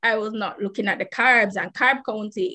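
A woman speaks with a fairly high pitch and a bright, sharp tone. Her pace is moderate and her intonation fairly even. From Jamaica. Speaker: person with type 1 diabetes. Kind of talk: interview.

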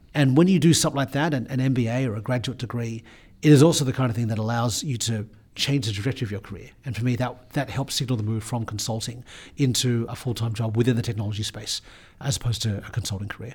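In an Australian accent, a man speaks at a very fast pace with a somewhat breathy, medium-pitched voice and ordinary pitch variation. The recording is very clean, with a silent background. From Sydney, Australia (North Shore). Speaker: business executive. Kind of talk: interview.

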